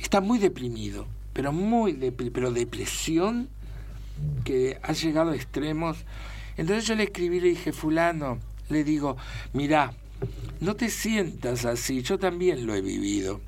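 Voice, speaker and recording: Leaving long, frequent pauses, a man speaks at a fairly slow pace. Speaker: actor. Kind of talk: casual chat.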